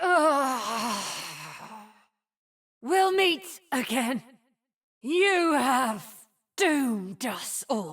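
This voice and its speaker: In a put-on character voice with very wide pitch swings, the speaker goes at a very slow pace with long, frequent pauses. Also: woman, high pitch for a woman. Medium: video game. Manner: cold, commanding.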